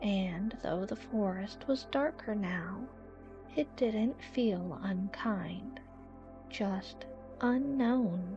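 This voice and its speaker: Over music in the background, a woman speaks at a very slow pace with a medium pitch and lively intonation. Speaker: narrator. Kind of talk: sleep story. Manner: soft-spoken, slow.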